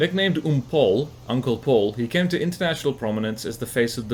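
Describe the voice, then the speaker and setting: With noticeable background noise behind him, a man with a South African accent talks at a fairly quick pace with lively intonation. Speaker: gaming commentator. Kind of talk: gameplay commentary. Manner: casual, reading aloud from wiki.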